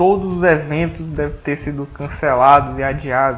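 A man talks with ordinary pitch variation. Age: 20s. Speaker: podcast host. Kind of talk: casual chat. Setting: at home.

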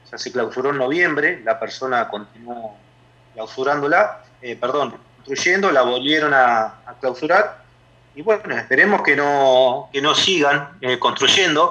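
Speaking at a fairly slow pace, a man uses a fairly high pitch with ordinary variation. His loudness swings widely. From Argentina, La Plata area. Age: 30s. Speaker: neighborhood activist. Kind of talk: radio interview. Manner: halting.

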